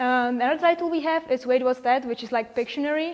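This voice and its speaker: A woman's high-pitched voice in a Czech accent, fairly quick, with fairly even intonation. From Czechia. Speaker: virtual reality designer. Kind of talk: conference talk.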